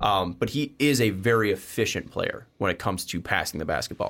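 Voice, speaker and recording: A man with a fairly low pitch speaks at a fairly quick pace, in a plain, everyday voice. The recording is very clean, with a silent background. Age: 20s. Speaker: sports podcast host. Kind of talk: casual chat.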